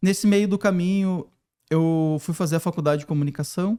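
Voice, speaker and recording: A man with a southern Brazilian accent speaks with a fairly high pitch, ordinary pitch variation and a dark, mellow tone. The recording is very clean, with a silent background. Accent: gaúcho. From southern Brazil, Porto Alegre. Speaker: design professor and consultant. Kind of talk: podcast interview.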